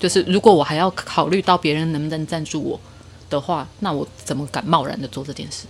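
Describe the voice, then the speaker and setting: With a Taiwanese accent, a woman talks at a fairly quick pace in a very deep, low pitch, with ordinary pitch variation and big swings in loudness over noticeable background noise. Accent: Taiwanese Mandarin. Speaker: guest sharing personal story. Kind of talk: casual chat.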